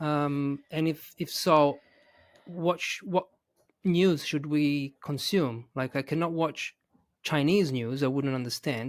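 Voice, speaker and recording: A man's fairly high voice with an Italian accent, at a very slow pace on a very clean recording with a silent background. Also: fairly even intonation. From Italy. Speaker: English teacher and podcast host. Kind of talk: interview question.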